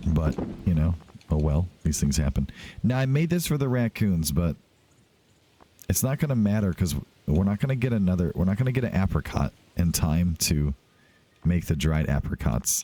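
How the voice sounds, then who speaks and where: A man with a very deep, low voice talks at a moderate pace in a relaxed tone, his pitch swinging very widely. Long pauses come often, and the sound is dry and close with no echo. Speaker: let's play video game host. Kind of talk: casual gameplay commentary. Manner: relaxed, chill.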